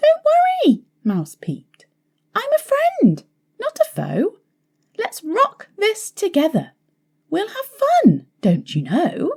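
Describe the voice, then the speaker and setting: In a squeaky, put-on character voice of extremely high pitch, a woman speaks at a very slow pace with long, frequent pauses, in a dry, close sound with no echo. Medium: read story. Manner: timid, small-voiced.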